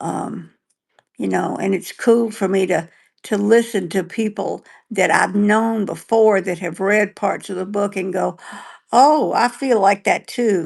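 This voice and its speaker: Against a quiet background, a woman of medium pitch talks fairly slowly with vocal fry. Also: ordinary pitch variation. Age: 70s. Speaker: stroke survivor and author, podcast co-host. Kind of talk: casual chat. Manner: halting.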